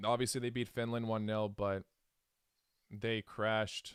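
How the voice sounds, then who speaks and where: A man's monotone, flat delivery at medium pitch and a fairly slow pace, in a very clean recording with a silent background and a dry, close sound with no echo. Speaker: football fan streamer. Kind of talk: live reaction stream.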